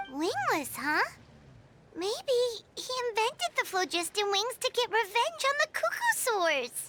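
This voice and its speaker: The speaker puts on a character voice at an extremely high pitch. The delivery is fairly slow. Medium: video game. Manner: excitable, blurting.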